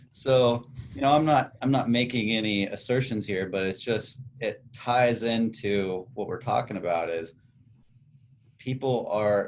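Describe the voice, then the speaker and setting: A man with an ordinary speaking voice, medium pitch, ordinary pitch variation and a fairly slow pace. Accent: General American. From United States. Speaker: podcast host. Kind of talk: casual chat.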